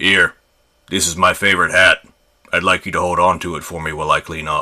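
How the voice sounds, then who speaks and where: A man puts on a character voice, very deep, low and raspy. He delivers it at a fairly quick pace. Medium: read story. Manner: plain, friendly.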